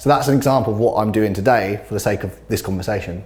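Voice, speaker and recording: An energetic man with a British accent and a fairly low pitch, against noticeable background noise. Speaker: teacher and inclusive sports coach. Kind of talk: podcast interview.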